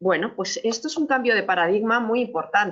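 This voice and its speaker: Lively intonation at a fairly quick pace. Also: woman. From Chile. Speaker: business technology executive. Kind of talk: webinar presentation. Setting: online webinar with slides. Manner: frequent hesitations and word repetitions.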